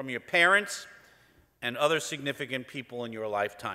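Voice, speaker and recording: On a very clean recording with a silent background, a man with an American accent speaks in a bright, sharp tone with lively intonation. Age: 60s. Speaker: business executive. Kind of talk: conference talk.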